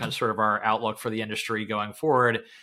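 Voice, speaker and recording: A man's bright, sharp tone comes through in a very clean recording with a silent background. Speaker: investment banker. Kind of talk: casual interview. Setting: call.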